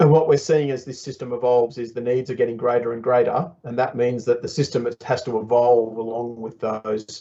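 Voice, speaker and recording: A man with an Australian accent, a dark, mellow tone, medium pitch, fairly even intonation and a moderate pace. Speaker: software developer presenting at workshop. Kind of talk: workshop presentation. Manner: conversational, with frequent fillers.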